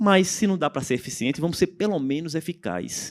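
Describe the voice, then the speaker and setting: At a moderate pace and with very wide pitch swings, the voice carries a slight strong Pernambuco accent in a dry, close sound with no echo. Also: man. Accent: slightly strong Pernambuco. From Pernambuco, Brazil. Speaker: panel speaker on tax reform. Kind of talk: conference talk.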